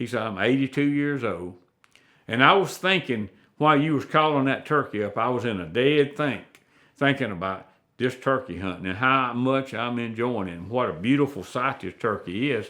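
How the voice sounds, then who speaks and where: Against a quiet background, a man with an Alabama accent talks at a moderate pace with lively intonation and a bright, sharp tone. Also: medium pitch for a man. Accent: southern US (Alabama). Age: 70s. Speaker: turkey hunter and call maker. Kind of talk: storytelling in a casual interview. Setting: at his home.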